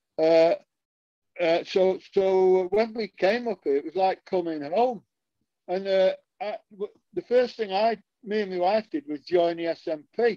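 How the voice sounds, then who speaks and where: With a northern English accent and a high pitch, a man speaks at a fairly slow pace with long, frequent pauses, ordinary pitch variation and a dark, mellow tone in a dry, close recording with no echo. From northern England. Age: 70s. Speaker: political podcast co-host. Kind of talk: casual political discussion.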